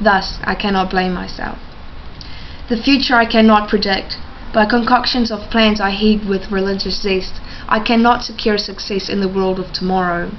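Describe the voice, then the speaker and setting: Noticeable background noise surrounds a woman speaking at a moderate pace. Her pitch is medium and her intonation fairly even. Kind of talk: spoken word poetry performance.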